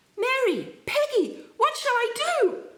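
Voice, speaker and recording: In a put-on character voice, a female-sounding speaker goes extremely high in pitch and shrill at a fairly slow pace. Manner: anguished, near shriek.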